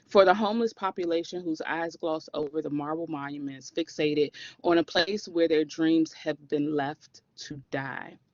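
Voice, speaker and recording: In a Washington DC accent, someone talks at a moderate pace with hardly any pauses. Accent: proud DC. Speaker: class presenter. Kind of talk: spoken-word personal story.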